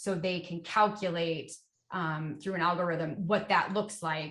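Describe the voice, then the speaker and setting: With a normal speaking voice, a woman speaks at a fairly slow pace, medium in pitch, with fairly even intonation. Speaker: education software account executive. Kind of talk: webinar product Q&A.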